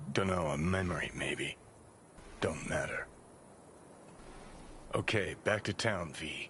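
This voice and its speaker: Over clear background noise, a man puts on a character voice with a very deep, low pitch, speaking at a fairly slow pace with long, frequent pauses. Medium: video game. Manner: drawling, sardonic.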